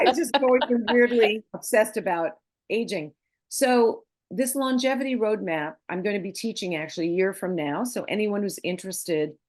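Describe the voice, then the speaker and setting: This woman has an ordinary speaking voice, fairly high in pitch, with lively intonation at a moderate pace. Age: 60s. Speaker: leadership coach and gerontologist. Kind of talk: interview conversation.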